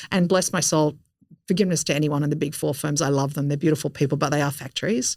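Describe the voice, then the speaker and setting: Her pitch sits very deep and low. This woman talks at a very fast pace. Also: fairly even intonation. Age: 50s. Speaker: innovation strategist. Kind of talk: interview.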